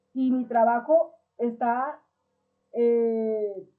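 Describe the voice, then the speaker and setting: A woman speaks at a high pitch. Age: 60s. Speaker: political commentator. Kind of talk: political commentary monologue.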